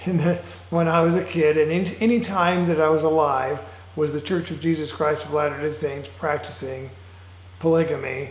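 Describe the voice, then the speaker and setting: A fairly high male voice at a moderate pace, with ordinary pitch variation and audible room echo. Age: 60s. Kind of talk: personal monologue. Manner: halting, many fillers.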